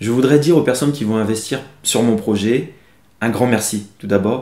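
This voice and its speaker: A man's dark, mellow tone with ordinary pitch variation and audible room echo. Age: 30s. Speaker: fashion designer. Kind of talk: crowdfunding pitch interview. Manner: hesitant, frequent fillers.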